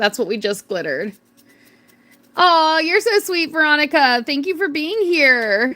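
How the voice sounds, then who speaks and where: Speaking in an American accent, a woman uses a raised, projected voice with a high pitch and a bright, sharp tone. Her pitch swings very widely as she talks at a fairly slow pace. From North Carolina. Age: 30s. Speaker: craft livestreamer. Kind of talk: casual livestream chat. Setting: livestream. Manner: animated.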